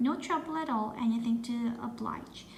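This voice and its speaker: Over clear background noise, a woman does a put-on character voice at a fairly high pitch. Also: moderate pace. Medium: read story.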